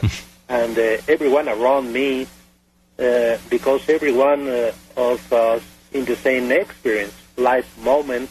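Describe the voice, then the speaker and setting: Music plays in the background as a man talks at a fairly slow pace. His medium-pitched voice keeps fairly even intonation. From Mexico. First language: Spanish. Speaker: airline pilot, UFO witness. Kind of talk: radio interview testimony. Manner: halting, many hesitations.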